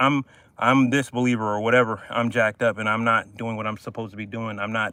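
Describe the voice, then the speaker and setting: A man talks loud and very fast at a medium pitch, his tone bright and sharp in a dry, close recording with no echo. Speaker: fitness coach streaming workouts. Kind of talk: live stream motivational talk during workout. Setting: outdoors.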